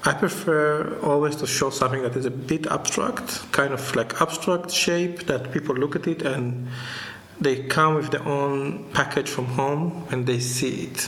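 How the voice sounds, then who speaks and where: Noticeable background noise sits behind a man speaking at a fairly slow pace. His pitch is fairly high, with ordinary variation. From Israel (Jerusalem), born in Tunis. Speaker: visual artist. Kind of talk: interview. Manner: halting.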